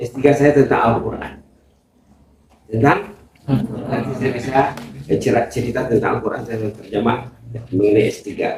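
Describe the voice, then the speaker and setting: The delivery moves at a moderate pace with ordinary pitch variation. Long, frequent pauses break it up. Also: man, medium pitch for a man. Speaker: university lecturer, visiting speaker. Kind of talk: speech to pesantren students. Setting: Islamic boarding school gathering. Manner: halting, repetitive.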